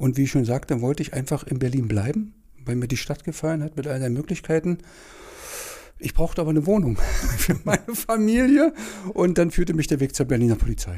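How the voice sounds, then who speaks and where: Somewhat breathy with a dark, mellow tone, a man with a fairly high pitch speaks at a fairly quick pace with very wide pitch swings. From Saxony-Anhalt, Halle district, small town. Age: 50s. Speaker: former police officer. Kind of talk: casual interview.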